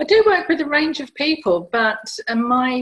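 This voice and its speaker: A woman's voice comes through somewhat breathy. Her intonation is lively. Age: 60s. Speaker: stress and rejuvenation coach. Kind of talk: interview.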